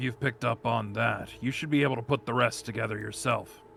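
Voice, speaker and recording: A man puts on a raspy character voice at medium pitch, talking fairly quickly with fairly even intonation over clear background noise. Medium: fan dub. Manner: laconic, measured.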